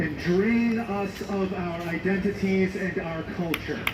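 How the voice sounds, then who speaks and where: At a very slow pace, the speaker talks with an American accent over noticeable background noise. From California, San Diego. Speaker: protest speaker. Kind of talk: protest speech. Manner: impassioned.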